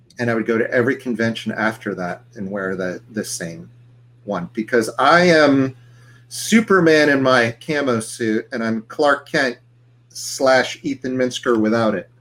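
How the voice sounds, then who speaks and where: A man with an ordinary speaking voice talks at a fairly slow pace, his medium pitch showing ordinary pitch variation. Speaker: podcast host. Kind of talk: casual chat. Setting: video show. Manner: chatty.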